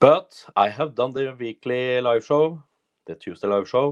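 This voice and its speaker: The sound is dry and close, with no echo. A man with a Norwegian accent speaks at a medium pitch and a fairly slow pace. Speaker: personal development coach. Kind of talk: solo livestream monologue. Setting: Facebook live video. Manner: halting.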